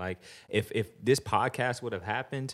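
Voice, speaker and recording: A man's medium-pitched voice with vocal fry, ordinary pitch variation and a moderate pace, on a very clean recording with a silent background. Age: 30s. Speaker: strength and conditioning coach. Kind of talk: casual chat.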